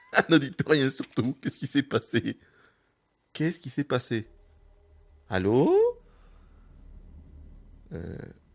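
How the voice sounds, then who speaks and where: A man's voice swings very widely in pitch and shows vocal fry. The sound is dry and close, with no echo. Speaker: gaming youtuber. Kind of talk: let's play commentary.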